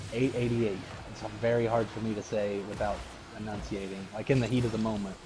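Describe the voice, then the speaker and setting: Over noticeable background noise and audible room echo, a man talks at a very fast pace. His voice is fairly low and monotone, with flat intonation. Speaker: gamer streamer. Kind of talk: casual chat. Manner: trouble pronouncing T's.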